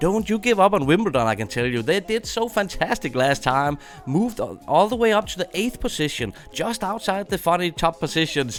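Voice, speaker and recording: With a Danish accent, a man speaks in a high voice that makes very wide pitch swings, barely pausing at all. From Denmark. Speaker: gaming streamer. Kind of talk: live stream chat with viewers. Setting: live stream. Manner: animated.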